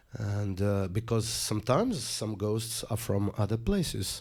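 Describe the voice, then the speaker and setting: In a Portuguese accent, the voice is somewhat breathy, with fairly even intonation at a fairly slow pace. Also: man. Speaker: musician and poet. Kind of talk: interview.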